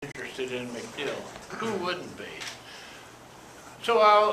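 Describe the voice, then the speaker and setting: There is noticeable background noise as a man talks at a fairly slow pace. His intonation is lively. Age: 80s+. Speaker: war veteran. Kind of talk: interview answer.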